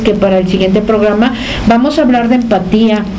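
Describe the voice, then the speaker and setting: Audible room echo and noticeable background noise surround a woman's speech. She talks at a fairly quick pace in a fairly high voice with ordinary pitch variation. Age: 50s. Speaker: radio host and psychologist. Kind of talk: radio interview.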